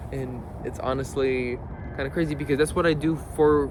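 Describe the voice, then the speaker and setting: A man speaks over noticeable background noise. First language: not English. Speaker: video creator. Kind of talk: casual vlog monologue. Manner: casual, halting with self-corrections.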